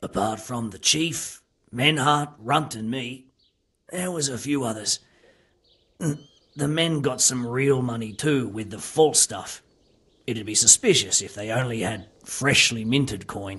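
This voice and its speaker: Putting on a raspy character voice at medium pitch, a man talks at a fairly slow pace with big swings in loudness. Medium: video game. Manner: calm, questioning.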